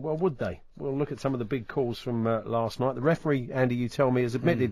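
A man speaks at a medium pitch with a British accent. His pitch varies in an ordinary way. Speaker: radio host. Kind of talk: casual chat. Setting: studio.

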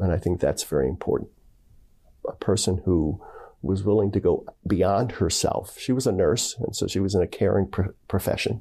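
A man with an American accent, a dark, mellow tone, fairly low pitch and vocal fry, on a very clean recording with a silent background. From Philadelphia, Pennsylvania. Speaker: religious brother. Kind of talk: interview.

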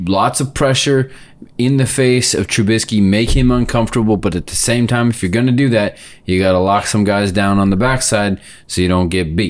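A man's fairly low voice, a normal speaking voice, with ordinary pitch variation and a moderate pace, in a very clean recording with a silent background. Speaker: podcast host, football fan. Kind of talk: casual sports talk.

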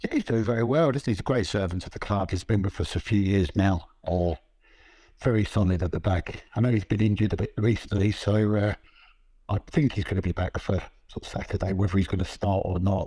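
The voice is somewhat breathy, with a dark, mellow tone, at a fairly quick pace. The recording is very clean, with a silent background. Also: man, fairly low pitch for a man, ordinary pitch variation. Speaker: football journalist and author. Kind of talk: casual interview chat.

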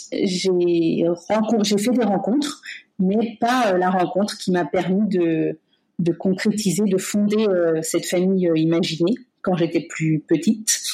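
A woman speaks very slowly at a medium pitch, somewhat breathy, with a dark, mellow tone. Her pitch varies in an ordinary way and her loudness is very even. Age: 30s. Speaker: medical-psychological care assistant. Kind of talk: personal testimony interview. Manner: hesitant, many fillers.

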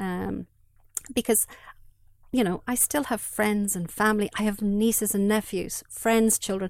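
A woman's medium-pitched voice with an Irish accent, fairly slow and fairly even, broken by long, frequent pauses. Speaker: bereaved mother. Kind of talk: testimony. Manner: halting.

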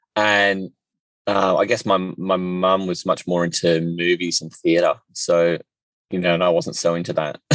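At a moderate pace, a man speaks in a very deep, low voice with monotone, flat intonation, the sound dry and close with no echo. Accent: Australian. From Australia. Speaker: podcast host. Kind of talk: casual chat. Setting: in a car.

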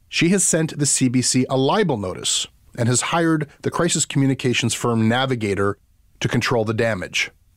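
A man with a Canadian accent speaks at a moderate pace in an unremarkable speaking voice. His pitch sits in the medium range, and his intonation is lively. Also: very clean recording, silent background. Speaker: podcast host. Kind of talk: interview and narrated commentary.

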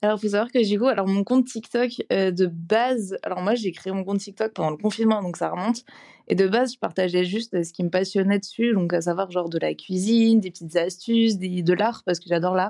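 A woman's dark, mellow tone at a fairly quick pace with fairly even intonation. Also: medium pitch for a woman. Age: 20s. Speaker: former law student recovering from anorexia. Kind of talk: casual chat.

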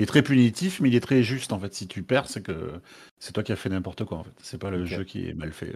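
A man with an ordinary speaking voice talks at a fairly quick pace and a fairly low pitch, with lively intonation and big swings in loudness. The recording is very clean, with a silent background. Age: 20s. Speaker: gamer interview guest. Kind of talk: interview.

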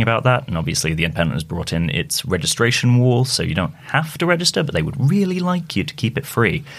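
Over noticeable background noise, a man talks at a very fast pace with hardly any pauses and very wide pitch swings. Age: 20s. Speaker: reporter. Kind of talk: casual chat. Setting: studio.

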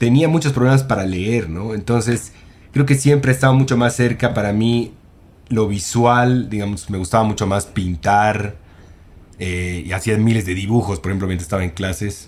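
A man with a plain, everyday voice and fairly low pitch speaks at a moderate pace with ordinary pitch variation. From Bolivia. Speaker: film director. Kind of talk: casual chat.

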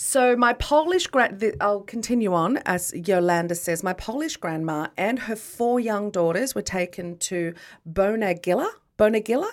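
On a very clean recording with a silent background, a woman with an Australian accent speaks at a moderate pace, her pitch medium and her intonation lively. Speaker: podcast co-host. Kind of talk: casual chat. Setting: studio.

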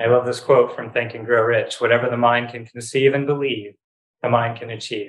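A man at a moderate pace, somewhat breathy, with a medium pitch. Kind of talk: guided breathing meditation, live training. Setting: live training session with group in a room.

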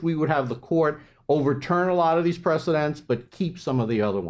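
Against a quiet background, the voice moves at a very fast pace with lively intonation. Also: man. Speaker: law professor. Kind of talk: panel talk. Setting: stage with audience. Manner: loud.

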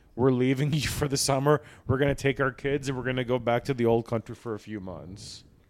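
With a normal speaking voice at a medium pitch, a man talks at a fairly quick pace and with fairly even intonation in a very clean recording with a silent background. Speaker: podcast host. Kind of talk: casual banter. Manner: joking, crude humor.

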